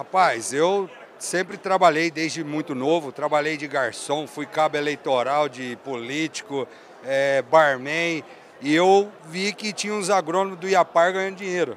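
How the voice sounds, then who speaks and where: A man with a fairly high voice, ordinary pitch variation, a fairly slow pace, and noticeable background noise. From Brazil, northern Paraná (Londrina). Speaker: agronomist and sales director. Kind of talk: casual interview. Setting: trade fair stand.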